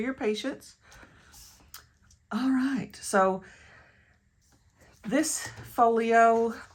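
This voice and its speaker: A woman with a Tennessee accent speaks in a fairly high, somewhat breathy voice, leaving long, frequent pauses. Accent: West Tennessee. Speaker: crafter and online shop owner. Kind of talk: craft tutorial. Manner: casual, self-correcting.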